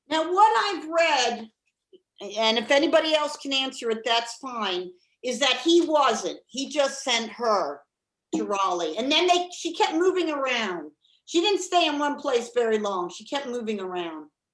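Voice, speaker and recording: A woman with an American accent speaks in a high pitch at a fairly slow pace. Her pitch swings very widely. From Maryland, US. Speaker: presenter at a history club. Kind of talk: lecture; Q&A answers.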